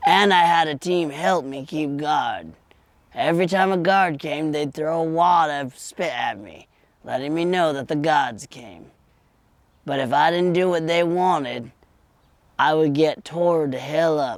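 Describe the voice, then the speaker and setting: A man speaks in a put-on character voice, pitched fairly high for a man. His loudness swings widely as he goes at a moderate pace. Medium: audio drama. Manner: rambling, folksy.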